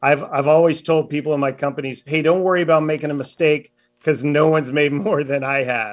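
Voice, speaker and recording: With an unremarkable speaking voice, a man talks at a fairly quick pace, his fairly high pitch held in fairly even intonation. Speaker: author. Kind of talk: casual interview.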